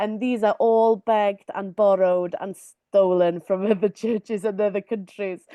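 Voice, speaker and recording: In a Welsh accent, a woman speaks fairly slowly at a medium pitch, her tone dark and mellow and her intonation fairly even, with a dry, close sound and no echo. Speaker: community artist. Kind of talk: webinar presentation. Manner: hesitant, many fillers.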